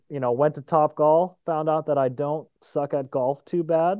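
A man with a normal speaking voice, fairly even intonation and a moderate pace. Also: hardly any pauses. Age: 20s. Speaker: podcast co-host. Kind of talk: casual chat. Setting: recording late evening, Eastern Time.

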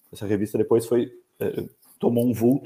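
A man's medium-pitched voice, dark and mellow, in a flat monotone at a moderate pace. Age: 40s. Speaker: livestock magazine co-founder, animal nutrition technician. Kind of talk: podcast interview. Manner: halting, repeats words.

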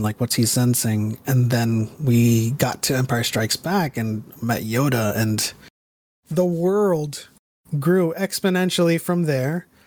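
A man with an unremarkable speaking voice talks at a fairly slow pace in an American accent, his medium pitch moving with lively intonation. His loudness stays very even in a very clean recording with a silent background. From New York / New Jersey area. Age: 30s. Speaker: Star Wars lore content creator. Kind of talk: casual interview chat.

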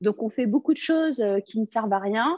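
Using lively intonation, a woman with an unremarkable speaking voice speaks at a fairly slow pace. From France, Lebanese family. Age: 30s. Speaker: comedian. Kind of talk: casual interview.

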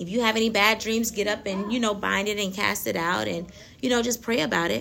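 Talking at a fairly quick pace, a woman uses a medium pitch marked by vocal fry. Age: 30s. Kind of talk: faith talk monologue. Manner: laughs often.

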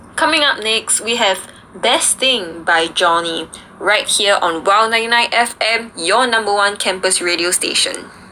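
Over noticeable background noise, a woman speaks fairly slowly with lively intonation. Her loudness stays very even. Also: medium pitch for a woman. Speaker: student radio host. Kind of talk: radio show chat.

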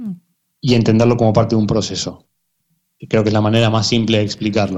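At a fairly quick pace, a man talks in an ordinary speaking voice of medium pitch with fairly even intonation. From Argentina, emigrated to Spain at 15. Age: 30s. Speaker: football coach and performance consultant. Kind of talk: interview.

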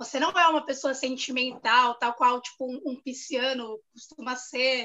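A woman speaks at a fairly slow pace in a high pitch. Her tone is bright and sharp. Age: 30s. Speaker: journalist. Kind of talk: casual chat.

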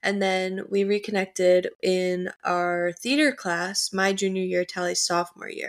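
A woman with an American accent speaks in an unremarkable speaking voice at a medium pitch and a fairly slow pace. Her intonation is fairly even, with hardly any pauses. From US Midwest, North Shore of Chicago. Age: 19. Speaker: podcast co-host, college student. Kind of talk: casual chat.

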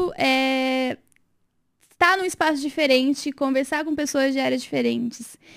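A woman is talking. Her pitch is high. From interior of São Paulo state (Rio Claro). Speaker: lawyer. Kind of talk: casual interview.

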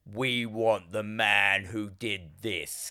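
Using a put-on character voice, a man talks at a fairly low pitch with monotone, flat intonation. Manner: menacing.

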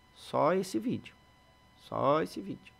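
A man talking at a fairly slow pace. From Brazil, Sorocaba (São Paulo state). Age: 40s. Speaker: photographer and videographer, production company owner. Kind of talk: podcast interview.

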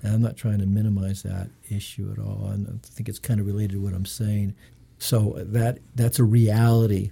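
A dark, mellow, somewhat breathy tone at a moderate pace, monotone and flat. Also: man, fairly low pitch for a man. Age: 50s. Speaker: legal commissioner. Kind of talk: casual chat. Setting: studio.

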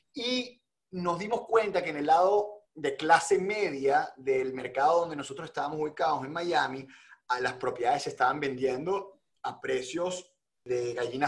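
Speaking at a moderate pace, a man uses a high pitch. His intonation is lively. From Venezuela. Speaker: real estate entrepreneur. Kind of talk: interview.

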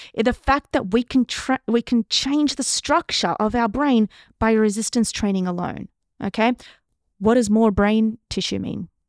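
Someone with an Australian accent speaks at a moderate pace with ordinary pitch variation, in a very clean, dry, close recording with no echo and a silent background. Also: woman, fairly high pitch for a woman. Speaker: neuroscientist. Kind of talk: casual interview.

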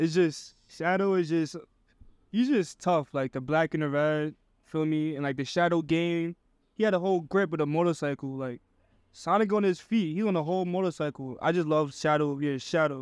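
A man with an American accent and a plain, everyday voice, fairly high in pitch with ordinary variation, at a moderate pace against a quiet background. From New York City, upper Manhattan. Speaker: fashion creative. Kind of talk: casual chat.

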